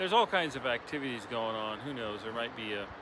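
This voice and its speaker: A man's voice in a relaxed tone. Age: 60s. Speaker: spiritual vlogger. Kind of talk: reflective monologue. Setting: outdoors by a river. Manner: relaxed, hesitant with fillers.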